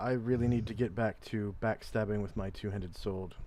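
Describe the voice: A man's raspy, put-on character voice, fairly low in pitch, at a fairly quick pace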